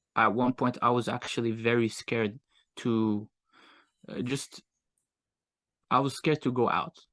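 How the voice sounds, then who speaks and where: Fairly even intonation at a fairly slow pace, with a dry, close sound and no echo. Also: man. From Morocco and US. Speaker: agency owner, entrepreneur. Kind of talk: casual interview chat. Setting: podcast interview. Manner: hesitant, many fillers.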